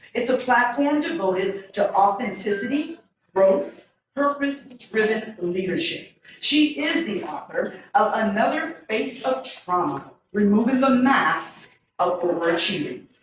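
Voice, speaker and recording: A loud woman's voice at a fairly high pitch with very wide pitch swings, a fairly slow pace, and audible room echo. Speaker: event MC and local educator. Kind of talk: event hosting and speaker introductions.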